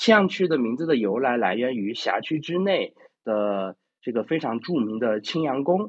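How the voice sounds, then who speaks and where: A man with a medium pitch speaks at a moderate pace, his pitch swinging very widely. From China, Chengdu (Sichuan). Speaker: classical literature presenter. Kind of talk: lecture. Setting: online voice chat room. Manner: hesitant, many fillers.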